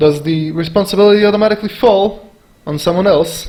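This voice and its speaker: A man with a non-native accent speaks at a moderate pace in a high voice. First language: not English. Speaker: video commentator. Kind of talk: reaction commentary.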